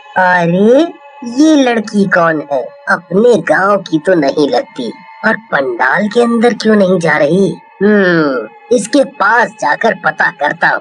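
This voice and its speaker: Faint music plays behind a man in a put-on character voice. He is high-pitched and talks at a very slow pace. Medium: read story. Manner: jovial.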